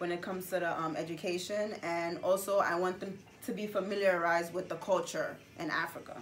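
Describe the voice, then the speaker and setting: A woman with a Gambian accent speaks at a fairly quick pace, at medium pitch, with fairly even intonation. Noticeable background noise and audible room echo are present. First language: Gambian languages. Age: 20s. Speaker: interviewee. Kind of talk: interview. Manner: halting, many fillers.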